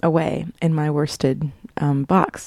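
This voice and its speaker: A woman with an American accent and a dark, mellow tone, in a dry, close sound with no echo. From US South. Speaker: podcast host, knitter. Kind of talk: casual solo podcast. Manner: chatty, digressive.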